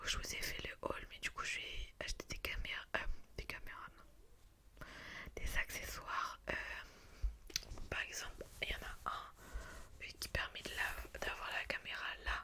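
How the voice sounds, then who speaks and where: A woman whispers at a fairly slow pace with long, frequent pauses. Noticeable background noise is present. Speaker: ASMR creator. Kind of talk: ASMR casual chat to camera. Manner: whispered.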